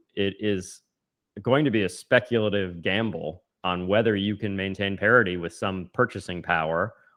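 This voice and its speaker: At a moderate pace, an unremarkable speaking voice delivers its lines with ordinary pitch variation. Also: man. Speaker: podcast co-host. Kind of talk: conversational policy discussion podcast.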